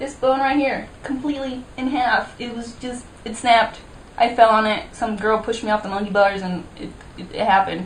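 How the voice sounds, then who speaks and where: A woman's fairly high voice with big swings in loudness, amid noticeable background noise and audible room echo. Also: ordinary pitch variation. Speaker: YouTuber. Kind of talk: casual vlog. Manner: fast; animated.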